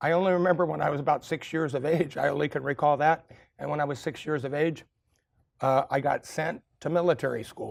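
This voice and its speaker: Fairly high-pitched and showing vocal fry, a man with an American accent speaks at a fairly quick pace with fairly even intonation. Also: very clean recording, silent background. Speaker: author and motivational speaker. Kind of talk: speech to a live audience. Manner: frank, conversational with hesitations.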